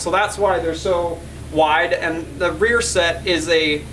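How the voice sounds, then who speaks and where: Noticeable background noise accompanies a man's voice. Audible room echo can be heard. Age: 30s. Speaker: car builder vlogger. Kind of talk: casual vlog talk. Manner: halting, repeats words.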